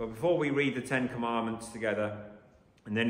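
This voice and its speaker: Audible echo fills the room. The pitch moves in an ordinary way. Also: man. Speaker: preacher. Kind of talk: sermon. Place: church.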